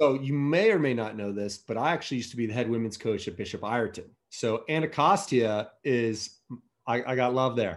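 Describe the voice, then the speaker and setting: This man has a plain, everyday voice with an American accent and a medium pitch. His pitch varies in an ordinary way, and the recording is very clean with a silent background. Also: fairly quick pace. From US, Virginia (Alexandria, DC area). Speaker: rowing company marketing director. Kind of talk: interview.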